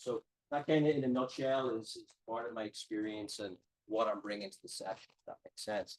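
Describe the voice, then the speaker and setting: With an Irish accent, a man speaks at a moderate pace and medium pitch. His ordinary pitch variation comes through a dry, close sound with no echo. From Ireland. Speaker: strength and conditioning professor. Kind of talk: lecture. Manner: hesitant, many fillers.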